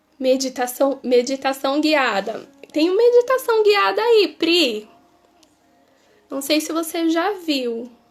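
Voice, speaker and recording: A woman with a high pitch speaks at a very slow pace, leaving long, frequent pauses. Her pitch swings very widely. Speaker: reiki teacher. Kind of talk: live stream Q&A. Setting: live stream.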